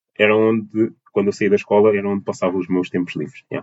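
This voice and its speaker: A man talks at a very fast pace. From Portugal, Lisbon and Almada (south bank). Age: 20s. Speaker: dance teacher and choreographer. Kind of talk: interview. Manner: halting, many fillers and repetitions.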